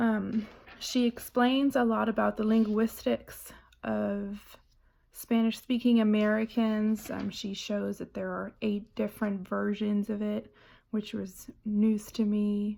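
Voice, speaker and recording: Speaking at a very slow pace, a woman has a fairly high pitch, a dark, mellow tone and monotone, flat intonation. The recording is very clean, with a silent background. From Germany. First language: German. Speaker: student. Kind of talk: book report presentation. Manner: hesitant, many fillers.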